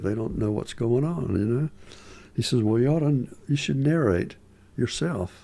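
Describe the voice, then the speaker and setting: A man speaks in a Southern accent at a moderate pace. His tone is dark and mellow, with ordinary pitch variation. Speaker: musician and filmmaker. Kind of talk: casual interview chat. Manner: halting.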